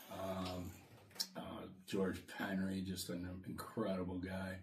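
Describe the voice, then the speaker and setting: A very deep, low-pitched, somewhat breathy man's voice with an American accent, at a very slow pace, with audible room echo. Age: 60s. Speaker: podcast co-host, salesman. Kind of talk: casual chat.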